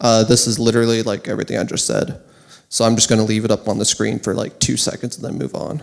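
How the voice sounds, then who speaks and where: This man talks at a very fast clip with vocal fry and fairly even intonation. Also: medium pitch for a man. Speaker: conference speaker. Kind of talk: conference talk. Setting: stage with audience.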